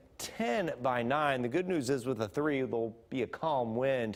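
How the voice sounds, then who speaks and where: At a fairly slow pace, an unremarkable speaking voice talks. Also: man. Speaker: meteorologist. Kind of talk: TV weather forecast.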